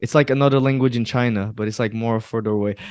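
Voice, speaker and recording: A man speaks with a Portuguese accent against a quiet background. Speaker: podcast co-host. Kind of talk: casual chat.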